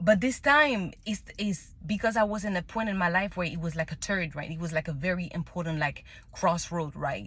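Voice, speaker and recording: A woman's fairly low, somewhat breathy voice with a French accent, at a moderate pace and with ordinary pitch variation. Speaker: tarot reader. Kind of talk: casual monologue. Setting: in a car. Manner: halting, many restarts.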